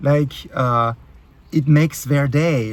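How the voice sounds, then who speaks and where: A man speaks at a fairly high pitch with a somewhat breathy voice. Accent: French. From France. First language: French. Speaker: YouTube creator. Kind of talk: rant. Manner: halting, many fillers; animated.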